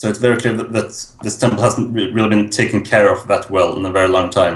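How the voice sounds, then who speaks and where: A man speaks at a fairly quick pace with a fairly low pitch. His intonation is monotone and flat, and his voice is somewhat breathy. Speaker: tabletop game master. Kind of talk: actual play scene narration.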